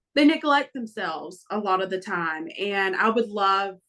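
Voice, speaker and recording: Medium pitch and a moderate pace from a woman with a Southern accent. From Florida. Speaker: family court reform advocate. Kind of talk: podcast interview. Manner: hesitant, many fillers.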